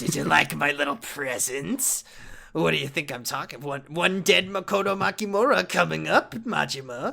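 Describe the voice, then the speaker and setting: A man puts on a character voice, fairly high in pitch. His pitch swings very widely at a moderate pace. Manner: taunting, gloating.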